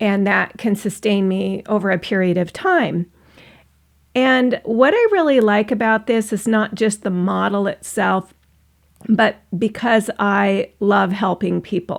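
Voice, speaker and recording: In an American accent, a woman with an unremarkable speaking voice talks at a fairly slow pace, her medium pitch showing ordinary pitch variation, in a very clean recording with a silent background. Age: 60s. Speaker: online business vlogger, former coach. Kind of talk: personal vlog monologue.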